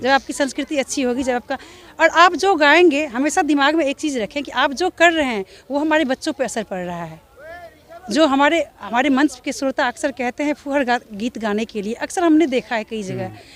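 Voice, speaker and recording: Over noticeable background noise, a woman with a high voice speaks at a moderate pace with lively intonation. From Darbhanga, Bihar. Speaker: folk singer. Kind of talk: interview answer. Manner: firm, earnest.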